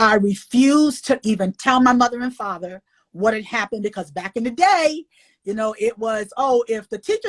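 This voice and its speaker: In a very clean recording with a silent background and a dry, close sound with no echo, a woman speaks in a somewhat breathy, animated tone with lively intonation. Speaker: author and illustrator. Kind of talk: interview.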